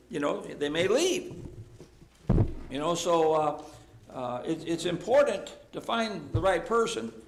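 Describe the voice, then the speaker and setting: In a room with audible echo, a man with a high voice talks at a fairly slow pace, his pitch swinging very widely and his speech broken by long, frequent pauses. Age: 70s. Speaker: Bible class teacher. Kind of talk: Bible class discussion.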